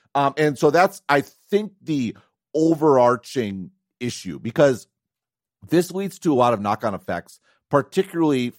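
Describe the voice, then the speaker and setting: Speaking with an Upper Midwest accent, a man lets his pitch swing very widely. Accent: Upper Midwest American. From US Midwest, Wisconsin. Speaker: tech analyst podcast co-host. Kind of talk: casual chat. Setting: remote call.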